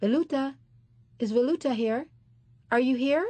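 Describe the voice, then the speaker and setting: At a moderate pace, a woman talks in a high pitch, using a put-on character voice. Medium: read story. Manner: imperious, questioning.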